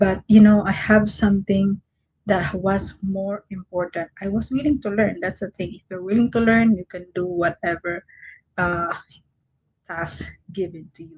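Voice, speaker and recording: A woman with a Visayan Filipino accent speaks in a somewhat breathy voice with fairly even intonation. Her loudness swings widely. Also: medium pitch for a woman, fairly slow pace, dry, close sound with no echo. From Philippines, Mindanao. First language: Cebuano (Bisaya). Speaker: online content creator. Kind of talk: livestream motivational talk. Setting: livestream at night. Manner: halting.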